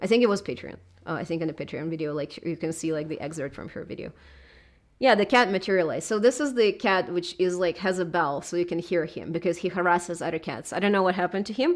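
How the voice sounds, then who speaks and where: A woman talks very fast in a fairly low voice with a Russian accent. Her pitch varies in an ordinary way, and the recording is very clean with a silent background. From southern Russia. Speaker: video essayist. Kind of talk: live stream chat. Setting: live stream at home. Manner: halting.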